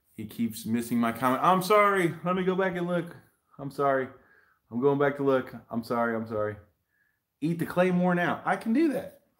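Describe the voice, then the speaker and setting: The background is quiet. A man speaks with lively intonation. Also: moderate pace. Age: 40s. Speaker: YouTube hot sauce reviewer. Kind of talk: live stream unboxing chat. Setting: live video stream shot in selfie mode. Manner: animated. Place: home room. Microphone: webcam.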